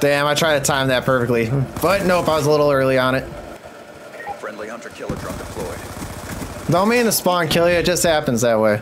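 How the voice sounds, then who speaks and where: A man talks at a fairly quick pace with lively intonation. Noticeable background noise is present. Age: 20s. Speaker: gaming youtuber. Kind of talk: live gameplay commentary. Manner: animated; loud. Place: home room.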